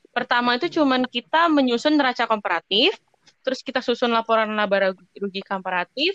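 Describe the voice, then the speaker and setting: A woman's high voice, fairly quick with lively intonation, in a dry, close sound with no echo. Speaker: business student. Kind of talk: peer explanation. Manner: hesitant, many fillers.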